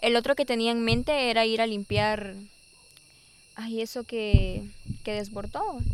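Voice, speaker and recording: A woman's fairly high, fairly evenly intoned voice at a fairly slow pace, with long, frequent pauses and noticeable background noise. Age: 20s. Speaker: guest. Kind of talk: casual chat. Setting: outdoors.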